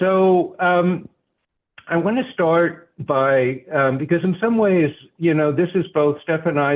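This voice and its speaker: A man speaks at a very slow pace. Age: 70s. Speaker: program instructor and researcher. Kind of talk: presentation. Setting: video call. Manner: halting, many repetitions and fillers.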